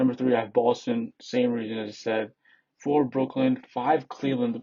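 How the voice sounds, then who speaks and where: This man's voice sits at a medium pitch. His delivery stays monotone and flat. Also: moderate pace. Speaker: sports YouTuber. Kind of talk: casual commentary. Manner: halting, repetitive.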